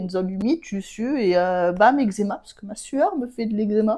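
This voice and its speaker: A woman at a medium pitch, talking at a fairly quick pace. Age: 20s. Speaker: patient sharing eczema experience. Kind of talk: casual chat. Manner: animated.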